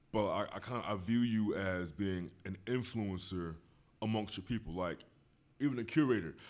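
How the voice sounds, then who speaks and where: A man with an American accent and a plain, everyday voice speaks at a fairly low pitch and a moderate pace, with ordinary pitch variation, in a very clean recording with a silent background. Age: 30s. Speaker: podcast host. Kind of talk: casual chat.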